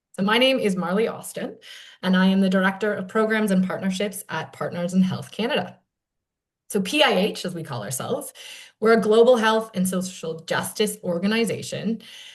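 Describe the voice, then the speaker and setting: Fairly quick, somewhat breathy speech from a woman. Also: medium pitch for a woman, ordinary pitch variation. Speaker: panel moderator, nonprofit program director. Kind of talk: panel discussion introduction.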